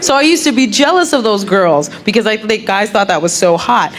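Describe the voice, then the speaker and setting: A woman with an American accent at a medium pitch with lively intonation, amid audible room echo and noticeable background noise. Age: 30s. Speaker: comedian. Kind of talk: stand-up. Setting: stage with audience. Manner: animated.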